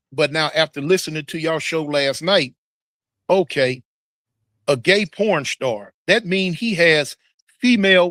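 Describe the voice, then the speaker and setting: At a moderate pace, the speaker shows ordinary pitch variation in a dry, close sound with no echo. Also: man. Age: 60s. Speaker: YouTuber and former prisoner. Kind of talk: casual interview.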